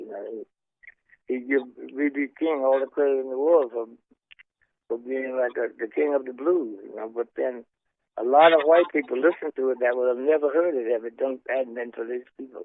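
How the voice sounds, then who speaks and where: A man with a Southern US accent speaks at a moderate pace and medium pitch, his intonation fairly even, his loudness swinging widely, with long pauses coming often. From Mississippi. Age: 80s+. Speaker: blues guitarist. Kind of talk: interview answer. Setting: phone line.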